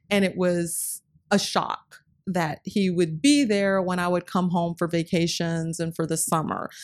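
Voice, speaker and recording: This woman has an unremarkable speaking voice, fairly low in pitch, with an American accent and ordinary pitch variation. She talks at a fairly slow pace in a very clean recording with a silent background. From North Carolina, US South. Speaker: nonprofit executive director. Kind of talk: interview.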